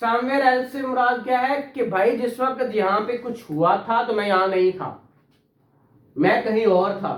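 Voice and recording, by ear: A man's extremely high voice, fairly bright in tone, at a fairly slow pace, with audible room echo. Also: ordinary pitch variation.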